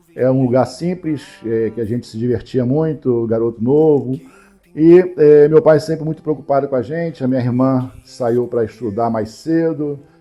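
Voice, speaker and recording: A man speaks at a medium pitch and moderate pace with ordinary pitch variation. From Brazil, Rio de Janeiro state (São Gonçalo). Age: 50s. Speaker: finance professional telling his life story. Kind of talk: personal life story monologue. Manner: halting, many fillers.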